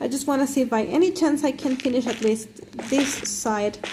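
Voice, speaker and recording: Noticeable background noise accompanies a woman with a high pitch. She talks at a moderate pace with ordinary pitch variation. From not Britain. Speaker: gaming live streamer. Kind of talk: casual live stream chat. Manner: hesitant, many fillers.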